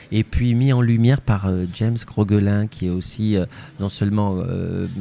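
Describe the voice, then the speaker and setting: With a Spanish accent, this dark, mellow voice moves at a fairly slow pace with fairly even intonation. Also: man, fairly low pitch for a man. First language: Spanish (speaking French). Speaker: actor and playwright. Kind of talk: interview. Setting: festival interview. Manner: hesitant, many fillers and repetitions.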